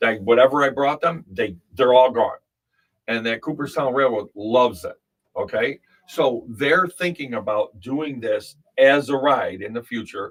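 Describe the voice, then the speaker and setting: An ordinary speaking voice, this man speaks at a fairly slow pace with medium pitch and ordinary pitch variation. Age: 60s. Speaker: children's book author. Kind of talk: casual chat. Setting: studio.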